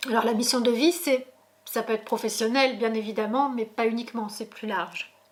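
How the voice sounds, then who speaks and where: A woman with a fairly high voice talks at a moderate pace and with fairly even intonation over noticeable background noise. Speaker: tarot reader. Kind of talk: tarot reading video. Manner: hesitant, many fillers.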